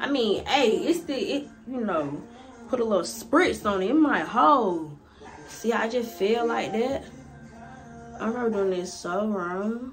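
Against light background noise, the words come at a very slow pace. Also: woman. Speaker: hair vlogger. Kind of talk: casual vlog chat. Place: home room. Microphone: phone near.

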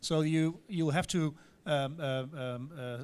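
This man speaks with a Dutch accent. His voice sits fairly high for a man. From Netherlands. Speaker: deputy mayor for transport; speaker. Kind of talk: conference presentation. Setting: stage with audience. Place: hall.

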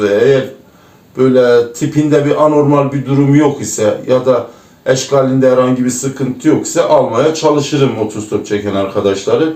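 With an Erzurum accent, a man at a fairly high pitch speaks at a moderate pace amid audible room echo. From Turkey, Erzurum. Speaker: former truck driver. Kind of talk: interview. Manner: hesitant, frequent fillers.

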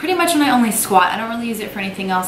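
Audible room echo around a woman's voice, plus light background noise. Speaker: fitness vlogger. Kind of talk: casual vlog chat. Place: office.

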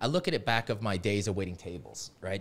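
There is vocal fry in this man's voice as he talks at a fairly quick pace. Light background noise can be heard. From New Orleans, Louisiana. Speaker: digital marketing agency founder; podcast guest. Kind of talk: podcast interview; interview answer. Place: studio. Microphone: studio mic.

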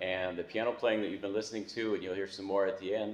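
The clip has light background noise and audible room echo. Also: man. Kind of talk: eulogy address. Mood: warm, gently celebratory. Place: hall. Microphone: camera far.

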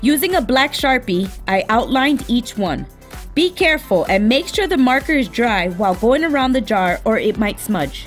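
A woman's high voice with very wide pitch swings at a moderate pace, music in the background. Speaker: craft YouTuber. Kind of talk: craft tutorial voice-over.

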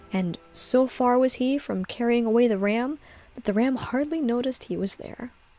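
At a moderate pace, a woman with a high voice and ordinary pitch variation speaks in a dry recording with no echo as faint music plays in the background. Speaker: streamer and storyteller; streamer, storyteller. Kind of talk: reading aloud. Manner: calm. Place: home room.

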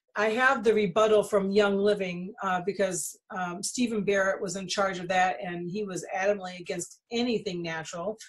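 A woman talks at medium pitch with hardly any pauses, her voice somewhat breathy. Her intonation stays fairly even while her loudness swings widely. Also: moderate pace. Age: 50s. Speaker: essential oils distributor and channel host. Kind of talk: casual monologue to viewers. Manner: halting with frequent fillers.

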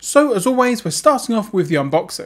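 A man speaks with lively intonation. The recording is very clean, with a silent background.

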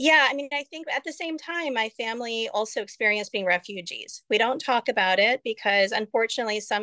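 A woman with an American accent, an unremarkable speaking voice, fairly high pitch, hardly any pauses, and a dry, close sound with no echo. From United States. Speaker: physician and tech startup founder. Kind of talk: interview conversation. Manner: chatty, many fillers.

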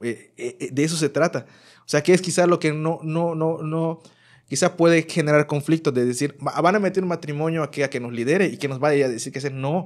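With a normal speaking voice, a man talks at a fairly high pitch and a fairly quick pace with fairly even intonation on a very clean recording with a silent background. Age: 30s. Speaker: youth minister. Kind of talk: casual chat.

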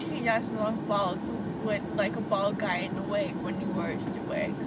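Over loud background noise, a woman mumbles at a fairly slow pace, the sound dry with no echo. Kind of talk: casual vlog chat. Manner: drowsy, mumbled speech with a numb jaw. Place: car.

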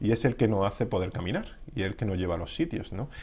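Somewhat breathy and fairly low in pitch, a man speaks at a moderate pace. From Spain. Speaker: podiatrist; interviewee. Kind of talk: interview. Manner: halting, many fillers. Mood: calm, explanatory. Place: studio. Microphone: lapel.

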